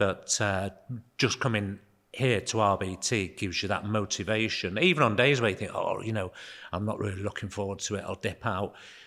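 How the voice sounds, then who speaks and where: This man talks at a fairly quick pace with a Manchester accent, his pitch fairly low and his tone bright and sharp. His intonation stays fairly even, and the recording is very clean with a silent background. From northern England, Altrincham/Sale area. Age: 60s. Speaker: gym member. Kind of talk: casual interview.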